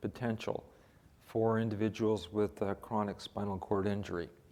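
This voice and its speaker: A man speaks at a medium pitch. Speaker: neurosurgeon and professor. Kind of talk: lecture.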